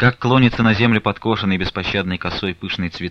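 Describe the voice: Ordinary pitch variation in plain reading aloud.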